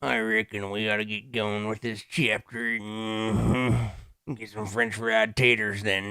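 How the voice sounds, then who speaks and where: A man puts on a gruff character voice, pitched fairly low. He drawls at a fairly slow pace with fairly even intonation. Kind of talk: folksy, rural. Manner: gruff slow drawl.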